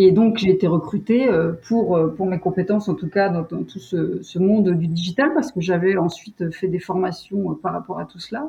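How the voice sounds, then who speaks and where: Somewhat breathy and at medium pitch, a woman speaks at a moderate pace with ordinary pitch variation and big swings in loudness. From French Alps (Savoie). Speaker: tourism communications director. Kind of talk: interview. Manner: hesitant, many fillers.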